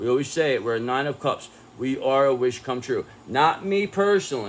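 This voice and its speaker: A man at medium pitch and moderate pace, with lively intonation. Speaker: tarot reader. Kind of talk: tarot reading monologue. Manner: loud; animated.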